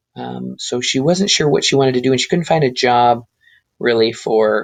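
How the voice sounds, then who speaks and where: A man's unremarkable speaking voice at a medium pitch and moderate pace, with an American accent. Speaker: teacher. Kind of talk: personal introduction monologue. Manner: casual, many filler ums.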